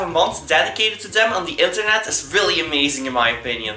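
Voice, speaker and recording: A man's raised, projected voice with a Dutch accent, fairly quick in pace, amid noticeable background noise and audible room echo. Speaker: gaming YouTuber. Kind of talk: video intro narration.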